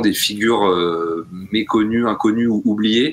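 Noticeable background noise accompanies speech whose intonation stays fairly even. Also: man. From rural France. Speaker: podcast co-host. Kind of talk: casual chat.

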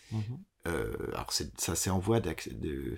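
Very deep and low in pitch, this man's voice carries vocal fry. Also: very clean recording, silent background. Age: 30s. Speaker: theatre director. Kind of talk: interview. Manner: halting.

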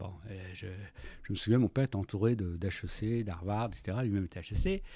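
A man speaks in a dark, mellow tone. The recording is dry and close with no echo. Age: 60s. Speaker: business leader. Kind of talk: interview. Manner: halting, repeats words.

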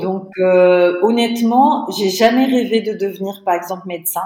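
With audible room echo, a woman speaks in a dark, mellow tone at a fairly slow pace and with ordinary pitch variation. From Tunisia. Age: 30s. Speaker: entrepreneur. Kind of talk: interview.

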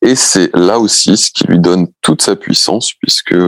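At a fairly slow pace, a man speaks in a fairly low voice with ordinary pitch variation, the sound dry and close with no echo. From Brittany, France. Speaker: beach artist. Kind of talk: interview. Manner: hesitant, many repetitions.

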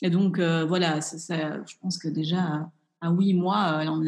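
In an unremarkable speaking voice, a woman talks at a fairly slow pace with fairly even intonation. Her pitch sits fairly low. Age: 30s. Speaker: chef and cooking instructor. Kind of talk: interview.

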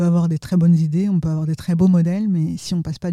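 A woman's fairly low, somewhat breathy voice, dark and mellow in tone, with a dry, close sound and no echo. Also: very clean recording, silent background. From France / Tunisia (Franco-Tunisian). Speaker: corporate executive. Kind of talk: interview. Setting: office.

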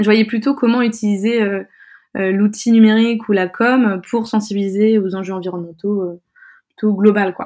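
This woman's voice has a dark, mellow tone and a fairly high pitch. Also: fairly even intonation, moderate pace. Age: 20s. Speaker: UX design student and founder of a media site. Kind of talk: interview. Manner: halting.

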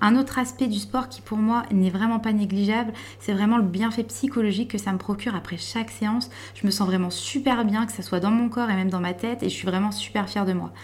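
A woman speaks with a normal speaking voice. Her pace is fairly quick and her intonation fairly even. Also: medium pitch for a woman. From France, Vosges. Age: 20s. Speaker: bank adviser and volunteer firefighter, weight-loss client. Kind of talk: testimony. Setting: dietitian's office.

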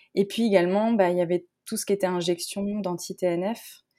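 With music in the background, a woman of medium pitch speaks at a moderate pace. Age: 30s. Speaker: naturopath and coach. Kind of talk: casual interview.

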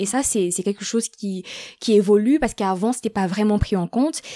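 A woman's unremarkable speaking voice, medium in pitch with ordinary pitch variation, dry and close with no echo on a very clean recording with a silent background. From Gabon. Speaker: student. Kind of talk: interview.

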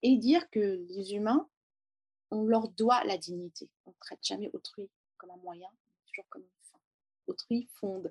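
Using lively intonation and long, frequent pauses, a woman speaks in a fairly high voice, recorded dry and close with no echo. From Lebanon, Beirut. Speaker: education founder and former teacher. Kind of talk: interview testimony.

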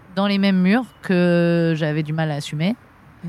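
A woman speaks in an ordinary speaking voice at a fairly low pitch with ordinary variation. The sound is dry and close, with no echo. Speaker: florist and shop owner. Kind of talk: interview. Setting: outdoors in a botanical garden.

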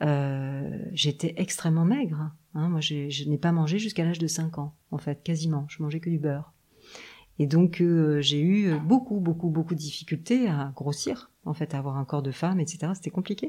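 Speaking at a moderate pace, a woman has a very deep, low pitch, a somewhat breathy quality and a dark, mellow tone. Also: ordinary pitch variation. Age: 50s. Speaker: acupuncturist, traditional Chinese medicine therapist. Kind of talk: interview, casual conversation. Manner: hesitant, many fillers.

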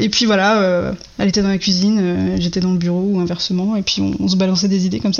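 Moving at a very fast pace, this woman keeps a medium pitch and fairly even intonation. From Brittany, France. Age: 30s. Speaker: web developer. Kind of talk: interview.

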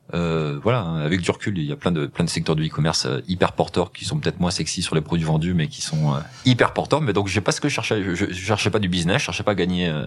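Against noticeable background noise, a man with a very deep, low pitch speaks very fast with lively intonation. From France, Loire (Saint-Chamond area). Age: 40s. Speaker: e-commerce entrepreneur. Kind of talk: interview. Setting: company offices. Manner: halting, with repeated words and hesitations.

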